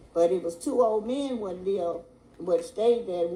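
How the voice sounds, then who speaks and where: Noticeable background noise sits behind a woman with a medium pitch. She talks at a moderate pace with lively intonation. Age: old. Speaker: storyteller. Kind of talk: oral ghost story telling.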